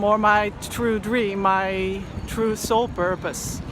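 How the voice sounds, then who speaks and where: Fairly high-pitched woman with a Dutch accent, monotone and flat, in audible room echo and noticeable background noise. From Netherlands. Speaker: poet and blogger. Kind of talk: personal vlog monologue. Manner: halting, with fillers.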